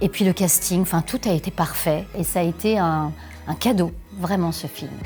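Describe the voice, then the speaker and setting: A woman speaks in a fairly low voice with ordinary pitch variation. Music plays behind her. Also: moderate pace. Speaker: voice actor, dubbing actress and voice director; voice and dubbing trainer. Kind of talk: interview answer about her career.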